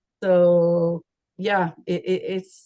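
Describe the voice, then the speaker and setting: This is a woman's voice. She speaks with a Quebec accent. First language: French. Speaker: university program staff. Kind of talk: information session presentation.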